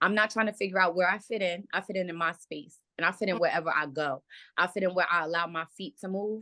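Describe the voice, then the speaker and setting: Loud and very fast, a woman speaks in an animated, bright, sharp tone. Her fairly low voice shows ordinary pitch variation. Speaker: reality show cast member. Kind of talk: heated argument.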